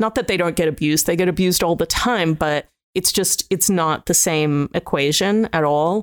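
A woman's fairly low voice with an Australian accent at a moderate pace, very even in loudness, the sound dry and close with no echo on a very clean recording with a silent background. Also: ordinary pitch variation. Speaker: food critic. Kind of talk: casual chat.

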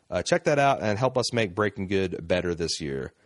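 A man's fairly low-pitched, fairly quick delivery in a normal speaking voice, dry and close with no echo, over a quiet background. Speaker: podcast host. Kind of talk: casual banter podcast. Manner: joking, bantering, filler-heavy.

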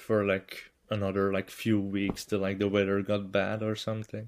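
With monotone, flat intonation, a man talks at a moderate pace. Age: 20s. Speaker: classic car restorer. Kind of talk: casual chat.

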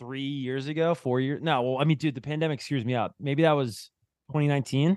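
Fairly high in pitch with fairly even intonation, a man speaks at a moderate pace in an ordinary speaking voice. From New Jersey. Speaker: TV music show host. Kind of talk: casual chat.

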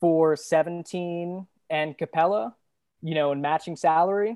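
A woman's fairly low-pitched voice, dark and mellow in tone, at a moderate pace, with a dry, close sound, no echo, and a quiet background. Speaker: guest podcaster, basketball analyst. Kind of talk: casual sports debate.

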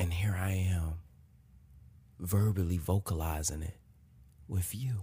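Very deep and low, a man's somewhat breathy voice carries a dark, mellow tone, broken by long, frequent pauses. The recording is very clean, with a silent background. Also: fairly slow pace. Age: 30s. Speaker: podcast host. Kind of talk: casual monologue. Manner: animated.

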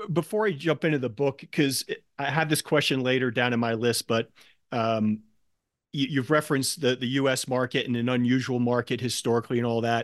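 An ordinary speaking voice comes from a man at medium pitch, with ordinary pitch variation and a fairly quick pace. The sound is dry and close with no echo, over a quiet background. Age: 50s. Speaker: podcast host, equity investor. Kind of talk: interview.

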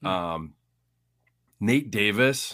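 A man speaks in a central Illinois accent at a fairly slow pace. His tone is bright and sharp, with ordinary pitch variation. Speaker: podcast co-host, Bears fan. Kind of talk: casual chat. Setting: video call.

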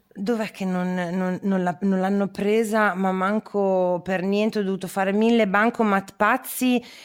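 The woman's pitch is medium, and her intonation stays flat and monotone. She speaks at a very slow pace on a very clean recording with a silent background. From northern Italy, Parma. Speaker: podcast host. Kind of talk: casual chat; scripted narration.

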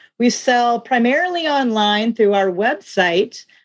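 With an American accent, a woman talks at a moderate pace in a normal speaking voice with ordinary pitch variation. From US Midwest (South Dakota). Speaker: small business owner, former meteorologist. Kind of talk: interview.

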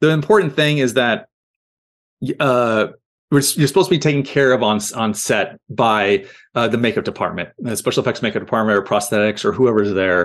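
A man with an American accent and a normal speaking voice talks at a fairly quick pace in a medium pitch, with lively intonation over a quiet background. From US Midwest (Iowa and Missouri). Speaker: creature actor. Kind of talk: casual interview. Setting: video call.

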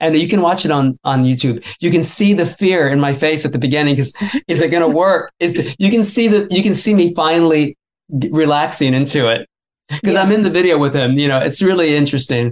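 Talking at a very fast pace with very even loudness, a man with an American accent has a fairly high pitch. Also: ordinary pitch variation. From Florida. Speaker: musician and author. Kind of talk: interview.

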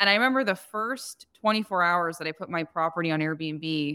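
A woman with an American accent speaks at a moderate pace in a bright, sharp tone with ordinary pitch variation. The recording is very clean, with a silent background. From New Jersey, US. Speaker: short-term rental business owner. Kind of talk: podcast interview.

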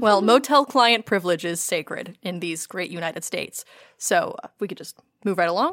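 A woman with an unremarkable speaking voice at medium pitch talks at a moderate pace, her intonation lively and her loudness swinging widely. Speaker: tabletop game designer. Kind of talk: tabletop roleplaying game session. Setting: studio.

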